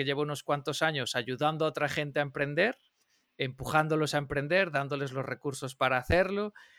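With a bright, sharp tone and fairly even intonation, a man talks at a fairly quick pace in a dry, close sound with no echo. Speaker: podcast co-host. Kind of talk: podcast interview. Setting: remote call.

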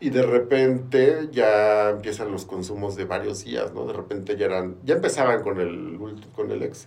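In a room with audible echo, a man with a Mexican accent speaks at a fairly slow pace, his fairly low voice showing vocal fry and lively intonation. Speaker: recovering addict. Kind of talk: testimony.

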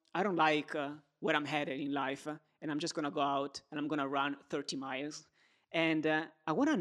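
A man with an Italian accent and a fairly high pitch, on a very clean recording with a silent background. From Italy. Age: 20s. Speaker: podcast host. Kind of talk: interview conversation.

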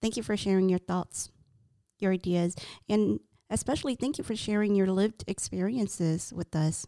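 In a very clean, silent recording with a dry, close sound and no echo, a woman with an American accent talks at a medium pitch in a dark, mellow tone, her loudness very even. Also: ordinary pitch variation, moderate pace. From US, Hmong American family. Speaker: podcast co-host and interviewer. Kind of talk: reflective interview. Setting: studio.

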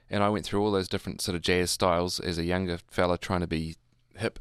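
In a New Zealand accent, a man talks very fast with a very deep, low voice and fairly even intonation. The recording is very clean and dry, close with no echo and a silent background. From New Zealand, Hamilton. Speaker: jazz musician and music tutor. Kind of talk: casual interview.

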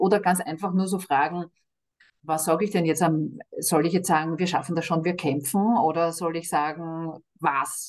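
A woman's normal speaking voice, moderate pace, ordinary pitch variation. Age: 50s. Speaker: cancer charity director. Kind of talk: interview.

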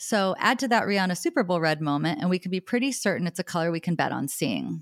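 In a very clean recording with a silent background and a dry, close sound free of echo, a woman talks very fast at a medium pitch, her tone enthusiastic and warm and her intonation lively. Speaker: podcast host and personal stylist. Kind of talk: casual interview conversation. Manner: enthusiastic, warm.

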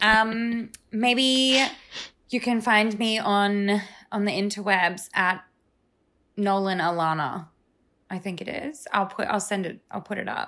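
With an Australian accent, a woman talks very slowly at medium pitch with a bright, sharp tone, ordinary pitch variation, and long, frequent pauses. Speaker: life coach guest. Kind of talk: casual chat. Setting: video call. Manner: animated.

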